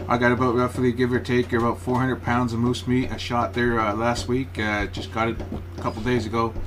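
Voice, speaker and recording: Noticeable background noise sits behind a man with a medium pitch. His tone is relaxed, his pace fairly quick and his intonation fairly even. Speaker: hunter and home cook. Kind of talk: casual cooking tutorial. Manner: monotone; relaxed, hesitant with many fillers.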